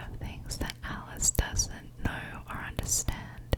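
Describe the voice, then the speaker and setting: Very slow whispering from a woman, with noticeable background noise. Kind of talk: ASMR coloring ramble. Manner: soft-spoken, whispered, slow.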